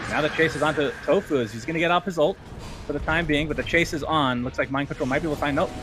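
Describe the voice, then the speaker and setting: A man with a fairly high voice talks very fast over background music. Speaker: esports caster. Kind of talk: live commentary. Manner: animated.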